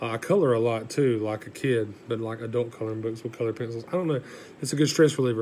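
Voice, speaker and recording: This man speaks with a Southern US accent at a medium pitch. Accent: Southern US (Georgia). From US South, south Georgia. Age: 30s. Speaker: college student, newspaper editor. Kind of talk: class speech, self-introduction. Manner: casual, hesitant with fillers.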